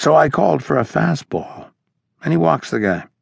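A man speaks at a fairly slow pace with very wide pitch swings, recorded with a dry, close sound and no echo. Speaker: audiobook narrator. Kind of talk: audiobook narration voicing an old catcher's first-person baseball reminiscence. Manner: storytelling, conversational anecdote pacing with quoted dialogue.

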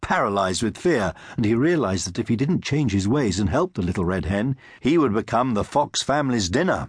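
Lively intonation in a plain read-aloud delivery

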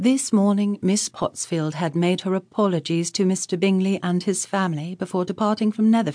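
The words are read aloud in a natural voice.

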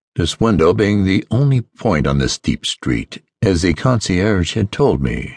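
His voice is very deep and low, with vocal fry and very wide pitch swings. The man speaks at a fairly slow pace in a dry, close sound with no echo. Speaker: audiobook narrator. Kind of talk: dramatic audiobook narration, first-person gothic horror read aloud. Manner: formal, measured, old-fashioned literary delivery.

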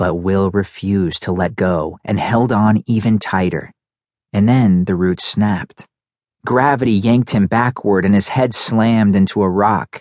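A man's fairly low-pitched, dramatic delivery at a very slow pace, with ordinary pitch variation and a dry, close sound with no echo. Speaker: audiobook narrator. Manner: dramatic, tense and urgent in the action scenes; shifts to wry, comic and casual in the bedroom scenes.

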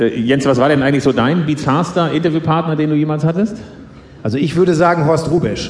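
Over noticeable background noise, a man talks in a playful tone at a very fast pace, with a fairly high pitch and fairly even intonation. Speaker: author and live reader. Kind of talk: stand-up comedy reading. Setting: stage with audience. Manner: playful storytelling with punchlines.

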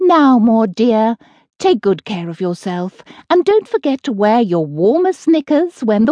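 Against a quiet background, the passage is delivered in a natural reading voice.

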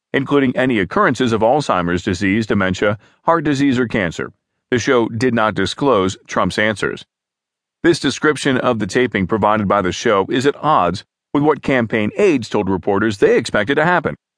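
With an unremarkable speaking voice, a man talks at a fairly quick pace, his medium pitch carried by lively intonation. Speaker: news narrator. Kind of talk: formal news reading of written articles, scripted and neutral. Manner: even, measured, steady newsreader pace with neutral delivery; formal, clear enunciation, reads quotes without acting.

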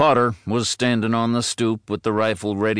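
The clip features a natural reading voice.

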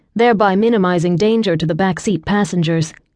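A woman has a normal speaking voice at medium pitch with ordinary pitch variation. She speaks at a moderate pace against a quiet background. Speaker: audiobook narrator. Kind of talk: dramatic audiobook narration of a thriller-romance, tense and cinematic.

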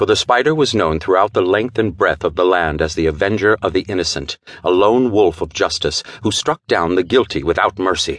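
With an unremarkable speaking voice and a fairly low pitch, a man talks at a fairly quick pace with lively intonation, very even loudness and hardly any pauses, in a dry, close sound with no echo. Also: quiet background. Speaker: audiobook narrator. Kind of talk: dramatic audiobook narration of a pulp thriller, with character voices. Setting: studio. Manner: measured, theatrical pacing that builds tension.

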